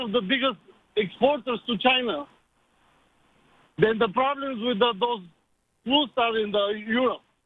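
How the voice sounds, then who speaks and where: A man with a Bulgarian accent speaks at an extremely high pitch with ordinary pitch variation. His pace is moderate, with long, frequent pauses. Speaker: caller. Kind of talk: radio call-in.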